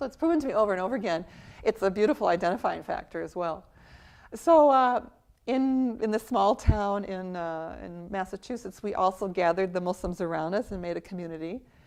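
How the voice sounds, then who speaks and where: In an ordinary speaking voice, a woman with an American accent talks at a fairly quick pace and medium pitch, with lively intonation and big swings in loudness over a quiet background. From US. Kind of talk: interview testimony.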